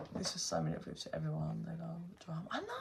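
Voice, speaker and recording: A woman speaks with a London accent. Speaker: tarot reader. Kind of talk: casual chat on a livestream. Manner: animated.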